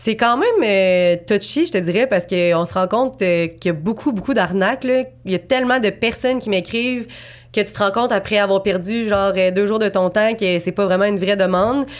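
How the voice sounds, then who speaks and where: A woman with an unremarkable speaking voice talks with ordinary pitch variation. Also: medium pitch for a woman, fairly quick pace. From Quebec City, Quebec. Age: 20s. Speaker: abstract painter. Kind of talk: casual interview.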